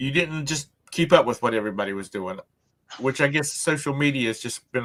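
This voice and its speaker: A man has an ordinary speaking voice with lively intonation. He talks at a fairly quick pace. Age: 60s. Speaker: livestream show host. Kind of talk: casual chat. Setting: live stream.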